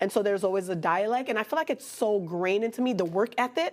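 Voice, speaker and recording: A woman's fairly high voice with lively intonation and a Haitian accent. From Miami, Florida (Haitian-American community). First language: Haitian Creole. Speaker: artist and fashion designer. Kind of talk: interview. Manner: casual, conversational.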